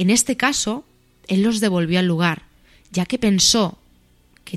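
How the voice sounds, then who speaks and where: The recording is very clean with a silent background and a dry, close sound with no echo. A woman speaks at medium pitch and a fairly slow pace, with ordinary pitch variation. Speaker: radio show host. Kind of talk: scripted narration.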